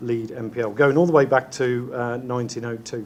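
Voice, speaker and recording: A man with an English Midlands accent talks at a moderate pace in a medium pitch, with audible room echo. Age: middle-aged. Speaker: chief executive. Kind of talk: conference talk. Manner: halting, many fillers.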